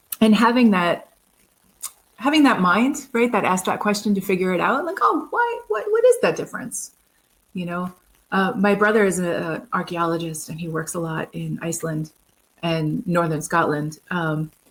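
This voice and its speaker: Lively intonation carries this woman's speech in an American accent. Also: medium pitch for a woman, moderate pace. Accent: New York accent, comes out when yelling. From New York City, Queens. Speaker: program manager in AV industry. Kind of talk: casual podcast interview.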